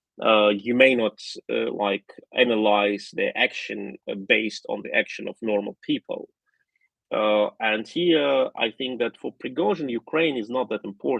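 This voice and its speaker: Someone speaks at a fairly slow pace with a Russian accent. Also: man. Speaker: political analyst. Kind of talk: live stream commentary. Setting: live stream. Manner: halting, many repetitions and fillers.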